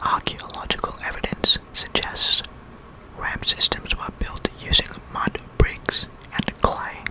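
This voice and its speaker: A man whispers at a very slow pace amid noticeable background noise. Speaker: ASMR creator. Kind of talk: ASMR educational narration. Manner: whispered.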